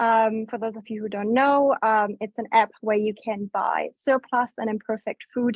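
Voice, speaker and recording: Speaking at a moderate pace, a woman with a German accent keeps her intonation fairly even. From Germany. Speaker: business development staff at food waste app. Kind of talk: webinar presentation.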